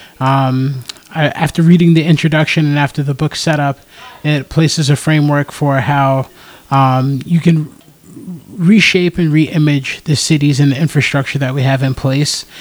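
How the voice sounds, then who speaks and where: In an American accent, a man speaks at a moderate pace with a fairly high pitch and fairly even intonation. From US South. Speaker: podcast co-host. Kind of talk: casual chat. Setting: in-person recording with microphones. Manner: halting, stumbles over words.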